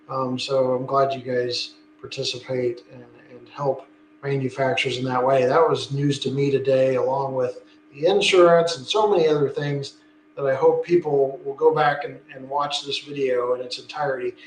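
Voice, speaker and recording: Over noticeable background noise, a man speaks at a moderate pace with fairly high pitch. His intonation stays fairly even while his loudness swings widely. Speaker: model train channel host. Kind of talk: casual interview chat. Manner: monotone.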